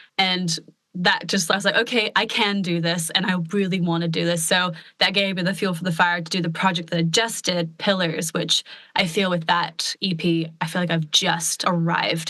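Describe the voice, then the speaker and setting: With an American accent, a woman speaks at a moderate pace, her fairly low voice monotone and flat. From US Pacific Northwest, Portland, Oregon. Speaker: country pop singer-songwriter. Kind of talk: casual podcast interview.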